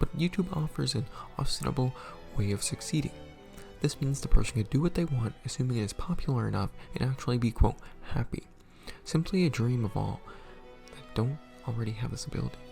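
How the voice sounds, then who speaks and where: Over music in the background, a man speaks at a very fast pace, broken by long, frequent pauses. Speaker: small YouTuber, minimum wage worker. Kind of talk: personal video essay read from script. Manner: occasional stutters.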